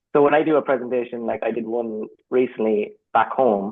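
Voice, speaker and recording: The intonation stays fairly even. The speaker has an Irish accent. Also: man. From Ireland. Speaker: creative professional, community member. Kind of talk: casual chat. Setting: video call.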